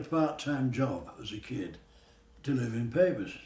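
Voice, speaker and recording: This man speaks at a moderate pace in a fairly high voice, with ordinary pitch variation. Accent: Yorkshire. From Yorkshire, England. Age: 80s+. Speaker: pastry chef. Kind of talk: interview answer.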